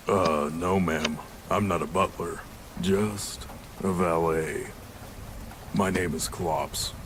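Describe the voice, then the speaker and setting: A man puts on a character voice with a very deep, low pitch. He goes at a fairly slow pace with long, frequent pauses over clear background noise. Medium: video game.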